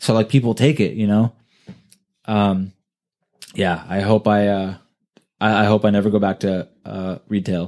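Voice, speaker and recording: Speaking in a Californian accent, a man with a fairly low pitch keeps his intonation fairly even and leaves long, frequent pauses. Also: moderate pace. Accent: Californian American. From US West Coast, California. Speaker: podcast host. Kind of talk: casual chat. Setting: home recording session.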